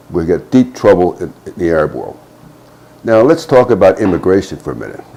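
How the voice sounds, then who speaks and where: With an American accent, a man speaks while noticeable background noise plays. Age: 70s. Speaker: retired army officer. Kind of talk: political commentary monologue. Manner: halting.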